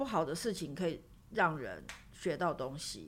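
A woman with a fairly low pitch and vocal fry speaks with lively intonation amid audible room echo. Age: 40s. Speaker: writer. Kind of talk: interview.

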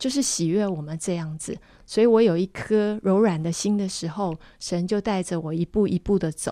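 The speech goes at a moderate speed, its pitch varying in an ordinary way. A dark, mellow tone colors it. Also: woman, medium pitch for a woman. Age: 50s. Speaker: nonprofit executive director. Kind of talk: radio interview, personal testimony.

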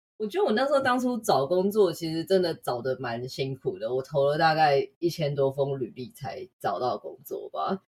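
Her voice fairly low and somewhat breathy, a woman talks with very wide pitch swings and hardly any pauses. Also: moderate pace. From Taiwan. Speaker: UX designer. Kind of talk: interview.

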